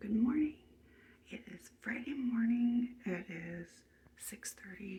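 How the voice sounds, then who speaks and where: The voice has a dark, mellow tone and ordinary pitch variation, moving at a very slow pace with long, frequent pauses and big swings in loudness. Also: woman, fairly high pitch for a woman. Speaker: artist alley vendor vlogger. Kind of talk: casual vlog. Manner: hesitant, many fillers.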